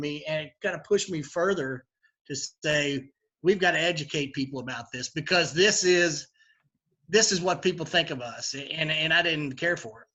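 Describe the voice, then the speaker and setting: A man talks in a strong Kentucky accent. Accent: heavy Kentucky. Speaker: bourbon bar owner. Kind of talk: interview. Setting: live virtual event. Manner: halting, many fillers.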